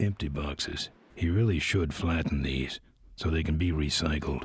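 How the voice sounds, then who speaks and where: Putting on a character voice, a man speaks very deep and low in a deadpan tone at a moderate pace. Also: ordinary pitch variation. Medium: video game. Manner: laconic, deadpan.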